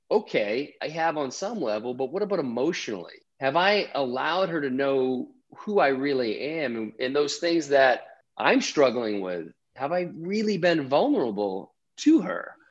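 Against a quiet background, a man speaks at a fairly high pitch. His voice makes very wide pitch swings. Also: moderate pace. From Maine. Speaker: podcaster and former Wall Street trader. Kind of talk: interview.

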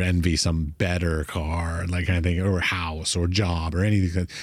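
A man with an American accent speaks at a fairly quick pace. His pitch is very deep and low, and the recording is very clean with a silent background. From United States. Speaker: podcast host and artist. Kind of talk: casual interview chat.

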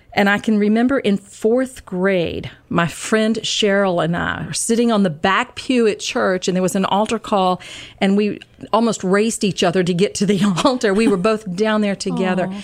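A woman with a normal speaking voice, medium pitch, ordinary pitch variation and a moderate pace, on a very clean recording with a silent background. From US South, Georgia. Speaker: retired teacher, Bible study leader. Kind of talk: casual chat. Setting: studio.

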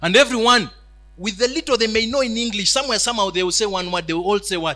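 In a raised, projected voice, a man speaks very fast at a high pitch with a bright, sharp tone and ordinary pitch variation. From Uganda, Kiryandongo area. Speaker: preacher on missions. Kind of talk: sermon. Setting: church hall with live audience.

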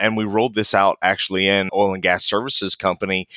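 A man with an American accent and a fairly low pitch has a bright, sharp tone in a very clean recording with a silent background and a dry, close sound with no echo. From US, West Virginia. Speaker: safety professional. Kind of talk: interview.

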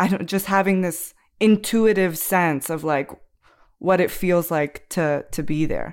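This is an unremarkable speaking voice with an American accent, delivered at a fairly slow pace with ordinary pitch variation. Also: woman, fairly low pitch for a woman, very clean recording, silent background. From rural United States. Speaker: academic researcher of Russia. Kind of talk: casual discussion.

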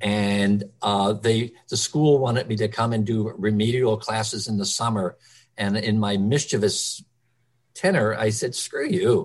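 Speaking in a normal speaking voice, a man with an American accent talks at a fairly slow pace with a fairly low pitch and fairly even intonation. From Philadelphia, Kensington. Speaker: early childhood center director. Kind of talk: interview.

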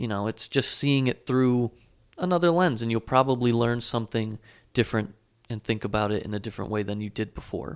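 A man with a plain, everyday voice at medium pitch, ordinary pitch variation and a fairly quick pace, in a very clean recording with a silent background and a dry, close sound with no echo. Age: 20s. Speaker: graduate student, podcast producer and co-host. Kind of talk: casual chat.

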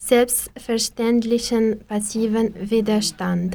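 Speaking very slowly with an Arabic accent, a woman has a fairly high pitch, a dark, mellow tone, and monotone, flat intonation. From Algeria. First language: Arabic (speaking German). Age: 20s. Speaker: pharmacist, language learner. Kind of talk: reading aloud.

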